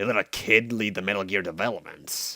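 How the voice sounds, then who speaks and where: On a very clean recording with a silent background, a man in a put-on character voice speaks at a fairly low pitch and fairly quick pace with fairly even intonation. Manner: bitter, sarcastic.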